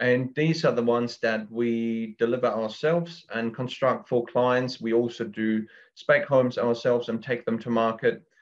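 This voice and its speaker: A man with a German accent speaks with fairly even intonation and hardly any pauses. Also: medium pitch for a man, moderate pace. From Germany. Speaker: builder, construction business owner. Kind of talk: interview. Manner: hesitant, with many fillers.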